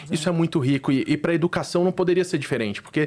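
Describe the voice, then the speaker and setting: A man with a Recife accent, a fairly high pitch and ordinary pitch variation. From Brazil, Recife (Northeast). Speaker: startup founder. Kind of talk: interview podcast. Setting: studio.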